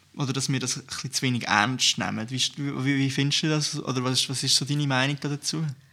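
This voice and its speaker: A man speaks at a fairly quick pace with medium pitch. His intonation is monotone and flat, and there is noticeable background noise. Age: 20s. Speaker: youth party podcast host. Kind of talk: casual chat.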